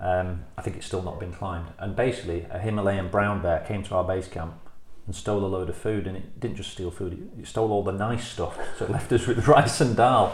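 A man's pitch varies in an ordinary way as he talks fairly quickly over noticeable background noise. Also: fairly low pitch for a man. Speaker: podcast host. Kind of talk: casual interview.

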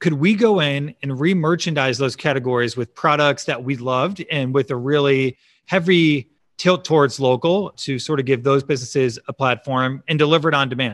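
In a normal speaking voice with an American accent, a man at a fairly high pitch talks at a moderate pace with ordinary pitch variation, in a very clean recording with a silent background and a dry, close sound with no echo. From Chicago suburbs, US Midwest. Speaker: startup founder and CEO. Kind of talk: interview.

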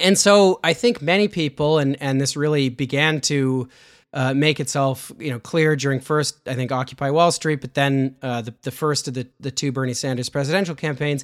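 A man with a Canadian accent talks in a normal speaking voice, fairly high-pitched, at a moderate pace with hardly any pauses and ordinary pitch variation. The recording is very clean, with a silent background. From Canada. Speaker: political journalist and author. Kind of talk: casual interview.

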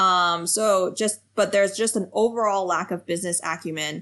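A normal speaking voice with a General American accent, fairly even intonation, a moderate pace and a quiet background. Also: woman. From United States. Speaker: science policy researcher. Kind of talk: interview.

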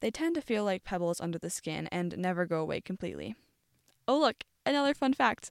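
A woman with a normal speaking voice, lively intonation, medium pitch and a fairly quick pace, on a very clean recording with a silent background and a dry, close sound with no echo. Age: young. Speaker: college radio host. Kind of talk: solo podcast monologue, partly scripted. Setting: studio.

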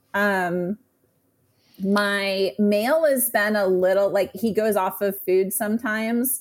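A woman with an American accent speaks very slowly at a medium pitch, her loudness very even and her pitch varying in an ordinary way. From Texas. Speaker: reptile breeder. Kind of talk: casual interview chat.

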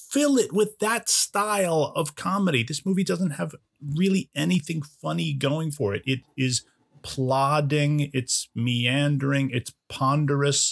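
At a fairly slow pace, a man with a fairly high pitch talks in an unremarkable speaking voice, and the sound is dry and close with no echo. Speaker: podcast co-host. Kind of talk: casual chat.

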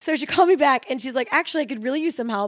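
A woman with an American accent sounds energetic, her intonation lively, in a dry, close recording with no echo that is very clean with a silent background. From Chicago. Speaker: realtor. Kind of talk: casual chat.

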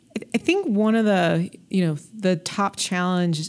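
In a very clean recording with a silent background, a woman speaks with a General American accent. She has a normal speaking voice, a fairly low pitch and ordinary pitch variation. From US, Colorado (North Denver). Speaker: state health technology official. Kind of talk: interview.

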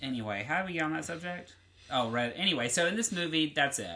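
The voice carries a Southern US accent. It moves at a fairly quick pace. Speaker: podcast host. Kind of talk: casual chat.

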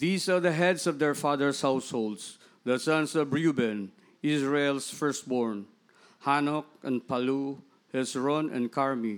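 A man with an ordinary speaking voice talks at a fairly slow pace with very even loudness, a fairly high pitch and ordinary pitch variation on a very clean recording with a silent background. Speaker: scripture reader. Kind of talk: reading aloud. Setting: church.

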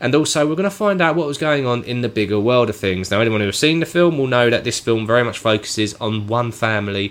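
A man speaks in an ordinary speaking voice at medium pitch, with lively intonation and a fairly quick pace. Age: 30s. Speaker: film podcast host. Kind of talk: casual chat.

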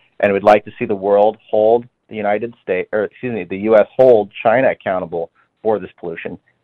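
A man at fairly low pitch with an unremarkable speaking voice, fairly even intonation, a fairly quick pace and big swings in loudness. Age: young. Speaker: young Republican party official. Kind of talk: radio interview.

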